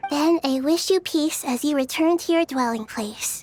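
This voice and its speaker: A female-sounding voice, high for a woman, in a put-on character voice. The tone is calm and gentle. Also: moderate pace. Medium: video game. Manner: calm, gentle.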